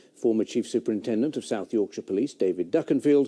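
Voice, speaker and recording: A man is speaking against a quiet background. His tone is dark and mellow. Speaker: news presenter. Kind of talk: news reading. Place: studio.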